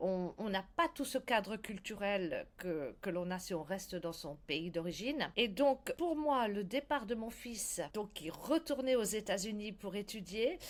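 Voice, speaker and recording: A woman's medium-pitched voice at a very slow pace, with very wide pitch swings and hardly any pauses. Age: 60s. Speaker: blogger. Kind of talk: interview. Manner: halting.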